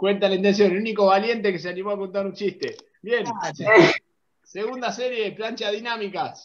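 Energetic in tone, a man speaks with a high pitch. Noticeable background noise can be heard. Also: fairly quick pace. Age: 30s. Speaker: fitness coach. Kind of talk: online workout class. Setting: video call. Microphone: video call.

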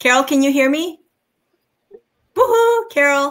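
Lively intonation and a fairly slow pace shape this woman's speech. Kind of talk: casual meeting talk. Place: home room.

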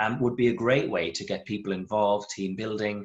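A man with an Irish accent sounds enthusiastic at a fairly quick pace. His pitch is fairly low, and the background is quiet. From Ireland. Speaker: vet and local wildlife group leader. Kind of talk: webinar presentation. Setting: video call. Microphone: video call.

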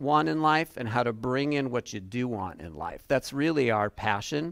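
The setting is quiet. A man talks, his pitch varying in an ordinary way. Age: 60s. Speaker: relationship coach. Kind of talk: workshop presentation. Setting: room with live audience. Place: classroom.

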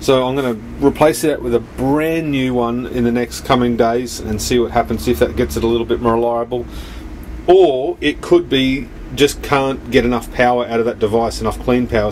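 With ordinary pitch variation, the speaker keeps a moderate pace over light background noise. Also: man. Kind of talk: casual vlog explanation. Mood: mildly frustrated, troubleshooting. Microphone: phone near.

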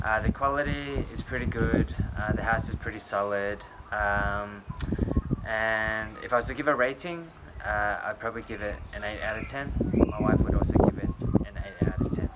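A man talks at a moderate pace with long, frequent pauses over loud background noise. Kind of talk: casual review vlog. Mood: calm, satisfied. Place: street. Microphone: phone near.

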